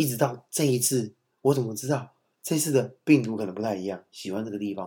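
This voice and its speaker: Speaking fairly quickly with a Taiwanese accent, a man uses a medium pitch and ordinary pitch variation. His tone is dark and mellow. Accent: Taiwanese Mandarin. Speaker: podcast co-host, father of young children. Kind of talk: casual chat. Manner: fast.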